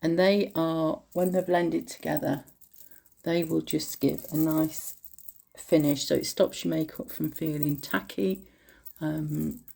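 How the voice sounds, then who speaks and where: Speaking with an English accent, this woman is heard. She talks fairly slowly. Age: 50s. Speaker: beauty vlogger. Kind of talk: makeup tutorial. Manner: casual, chatty with fillers.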